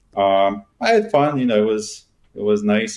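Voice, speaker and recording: In a Bosnian accent, a man speaks at a moderate pace and fairly low pitch, his intonation monotone and flat. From Bosnia and Herzegovina, then Germany. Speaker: real estate agent. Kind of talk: interview.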